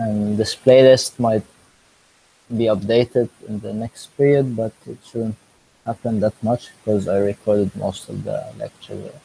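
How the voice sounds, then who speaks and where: His voice has a dark, mellow tone and is somewhat breathy, delivered with monotone, flat intonation in a dry, close sound with no echo. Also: medium pitch for a man, fairly slow pace. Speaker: math lecturer. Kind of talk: lecture introduction. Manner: slow; halting, with pauses. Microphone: laptop mic, a bit noisy.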